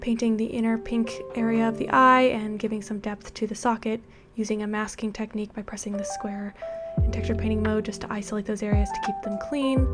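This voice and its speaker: Soft-spoken delivery comes at a fairly quick pace, with fairly even intonation. Music plays in the background. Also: woman, fairly high pitch for a woman. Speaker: 3D artist. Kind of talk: software tutorial narration.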